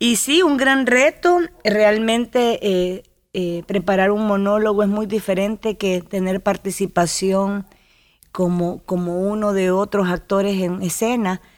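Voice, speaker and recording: The pitch varies in an ordinary way at a fairly slow pace. The recording is very clean, with a silent background. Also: woman, medium pitch for a woman. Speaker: actress and TV presenter. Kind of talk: interview. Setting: radio studio.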